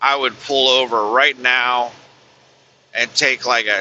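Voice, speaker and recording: The voice belongs to a man. Every line comes out monotone, with flat intonation. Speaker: truck driver. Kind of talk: casual vlog talk while driving. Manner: quiet.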